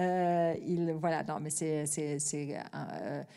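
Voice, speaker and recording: A woman's very deep, low, dark and mellow voice in a German accent, monotone and flat at a very slow pace, with audible room echo. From Germany. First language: German (speaking French). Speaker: TV editor-in-chief. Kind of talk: masterclass Q&A. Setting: stage with live audience. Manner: hesitant, many fillers.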